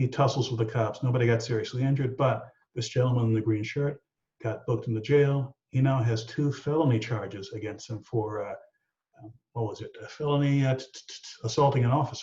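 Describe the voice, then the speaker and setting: This man has a dark, mellow tone at a medium pitch, with fairly even intonation and a somewhat breathy quality. He speaks at a fairly quick pace. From Texas, San Antonio. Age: 60s. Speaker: aviation safety analyst. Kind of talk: explanatory discussion. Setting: video call.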